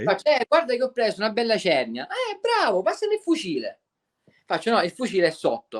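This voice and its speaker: Fairly quick speech comes through with a dry, close sound and no echo. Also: man. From Sicily. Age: 20s. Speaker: spearfisherman. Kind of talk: podcast interview answer.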